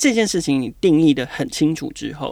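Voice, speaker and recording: The man talks at a moderate pace. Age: 40s. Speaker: marketing director. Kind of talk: interview. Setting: on location at his office.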